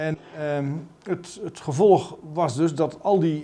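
A man's voice with a dark, mellow tone. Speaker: politician interviewee. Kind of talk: interview answer. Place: office.

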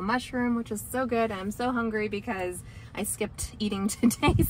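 Over light background noise, a woman talks at a moderate pace with fairly even intonation and a dry sound with no echo. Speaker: family vlogger. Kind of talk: casual vlog chat. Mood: cheerful, relaxed.

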